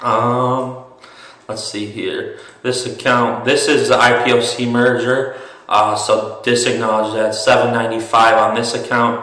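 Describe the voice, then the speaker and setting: Against noticeable background noise and audible room echo, a man speaks at a medium pitch and a fairly slow pace in a monotone, flat intonation. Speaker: day trader and investing youtuber. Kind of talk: tutorial. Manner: halting, many fillers.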